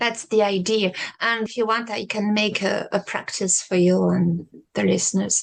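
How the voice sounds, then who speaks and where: This is a woman's voice. She speaks with a French accent. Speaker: sophrology practitioner. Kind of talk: interview conversation.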